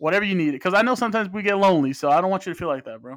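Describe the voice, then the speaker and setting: Here a man talks at a very fast pace. His pitch is high, with ordinary variation. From Phoenix, Arizona (Mexican-American family). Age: 20s. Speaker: podcast host. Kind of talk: monologue intro; casual interview.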